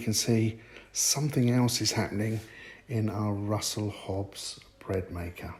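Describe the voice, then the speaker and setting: Somewhat breathy and dark, mellow in tone, a man's medium-pitched voice keeps a fairly even intonation. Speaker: home cooking vlogger. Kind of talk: cooking tutorial. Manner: casual, chatty.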